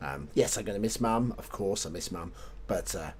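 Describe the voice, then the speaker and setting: A man speaks in a British accent at a moderate pace. His voice carries vocal fry. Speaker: video game streamer. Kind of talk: gameplay commentary. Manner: halting, self-correcting.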